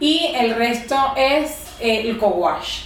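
Against noticeable background noise, a woman with a high voice speaks very slowly, making very wide pitch swings. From Venezuela. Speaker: comedian and occupational therapist. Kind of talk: casual interview chat. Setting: home recording.

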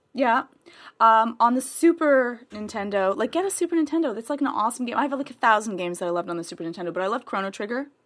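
Very fast and full of very wide pitch swings, a woman speaks in a very clean recording with a silent background. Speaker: podcast host and editor. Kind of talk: casual chat. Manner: laughs a lot.

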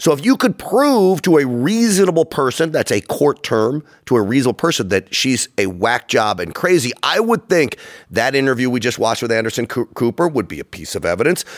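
Speaking fairly quickly, a man at medium pitch swings his pitch very widely on a very clean recording with a silent background. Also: dry, close sound with no echo. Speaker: political show host. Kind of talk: casual political chat.

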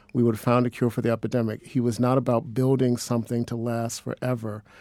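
On a very clean recording with a silent background, a man with an American accent speaks at medium pitch in a dark, mellow tone. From Cleveland, Ohio. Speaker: social work professor. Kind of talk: radio panel discussion.

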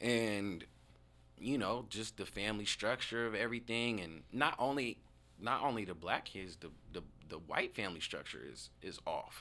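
With an American accent, a man speaks in an unremarkable speaking voice at a fairly low pitch and moderate pace. His pitch variation is ordinary, and there are big swings in loudness. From Tacoma, Washington, US. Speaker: community organizer and event coordinator. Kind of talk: casual interview.

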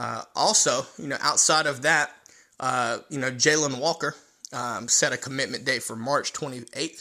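A man with an American accent speaks at a moderate pace in a fairly high, bright, sharp voice. The recording is very clean with a silent background. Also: ordinary pitch variation. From North Carolina. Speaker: sports podcast host. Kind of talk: solo sports commentary. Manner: casual, many filler words.

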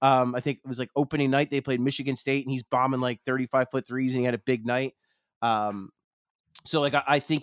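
Speaking at a fairly quick pace in an American accent, a man with a medium-pitched voice and fairly even intonation is heard on a very clean recording with a silent background and a dry, close sound with no echo. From Philadelphia, US. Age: 30s. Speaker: sports journalist. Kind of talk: casual chat.

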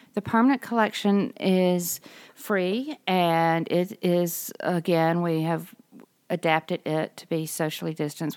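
A woman with a Mississippi accent speaks fairly slowly at a fairly low pitch, with ordinary pitch variation. The recording is very clean, with a silent background and a dry, close sound with no echo. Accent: US Southern (Mississippi). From Mississippi (Greenville). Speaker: art museum director. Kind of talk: interview.

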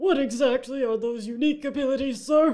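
This put-on character voice runs at a fairly quick pace with a high pitch. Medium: audio drama.

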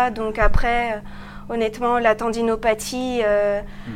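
There is noticeable background noise behind this woman. She talks at a fairly slow pace. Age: 20s. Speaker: medical resident. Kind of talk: interview.

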